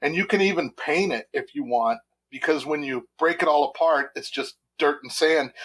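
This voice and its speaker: This man has a normal speaking voice at a fairly high pitch. He talks at a moderate pace with lively intonation. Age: 60s. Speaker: tabletop wargamer, club founder. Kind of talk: casual podcast interview.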